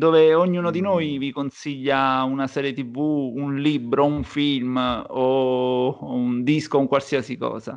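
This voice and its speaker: A man speaks at a very slow pace with hardly any pauses and a fairly high pitch. His intonation is fairly even, and the background is quiet. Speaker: podcast host. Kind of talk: casual chat.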